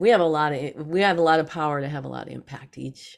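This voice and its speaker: Her pitch is very deep and low for a woman, with ordinary pitch variation. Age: 60s. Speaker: psychic channel and author. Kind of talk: casual interview conversation.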